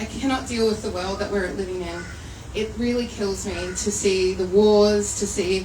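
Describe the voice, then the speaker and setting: Speaking with an Australian accent, a woman has a medium pitch and a moderate pace. Noticeable background noise and audible room echo surround her voice. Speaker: poetry anthology editor and publisher. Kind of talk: speech at a live book launch event. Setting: venue with live audience. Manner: loud; animated.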